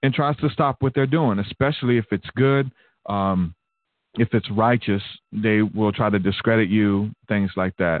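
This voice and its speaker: A man with an American accent has a normal speaking voice and a fairly low pitch. He talks at a moderate pace with ordinary pitch variation. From Alabama, US South. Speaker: podcast host. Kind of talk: casual chat, live stream conversation. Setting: live stream, home.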